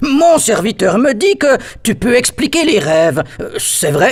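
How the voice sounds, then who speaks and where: In a cartoonish character voice, a man talks at an extremely high pitch and a fairly slow pace, his pitch swinging very widely. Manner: hesitant, with many "euh" fillers.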